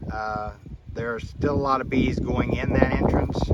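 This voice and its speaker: Noticeable background noise surrounds the recording. A man talks at a moderate pace. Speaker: hobby beekeeper. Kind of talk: casual video commentary. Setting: outdoors. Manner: occasional stutter. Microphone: phone camera recording.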